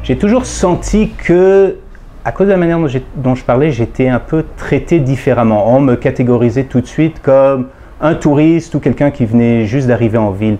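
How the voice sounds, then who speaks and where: Lively intonation marks this man's medium-pitched voice, which has a dark, mellow tone. He talks at a moderate pace. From Quebec, Montreal. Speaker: comic book artist. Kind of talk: testimony.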